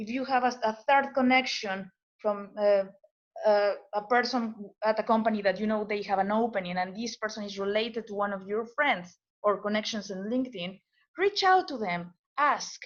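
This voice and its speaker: Speaking with a non-native accent, a woman has a fairly high pitch. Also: ordinary pitch variation, moderate pace. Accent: foreign. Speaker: postdoctoral scientist. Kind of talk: webinar presentation. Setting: webinar video call. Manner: halting, many repetitions and fillers.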